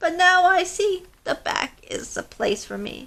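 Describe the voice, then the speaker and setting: A put-on character voice from a woman, pitched extremely high, delivered at a fairly slow pace. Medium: read story.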